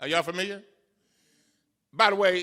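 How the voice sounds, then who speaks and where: A man's raised, projected voice, high in pitch, passionate, with a bright, sharp tone. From Baltimore, Maryland. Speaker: congressman. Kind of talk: public speech. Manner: fiery, passionate.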